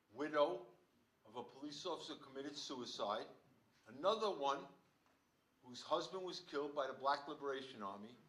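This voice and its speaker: A man speaks with lively intonation in a bright, sharp tone, with audible room echo around him. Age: 70s. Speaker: audience member, retired police officer. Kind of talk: audience question. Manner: animated.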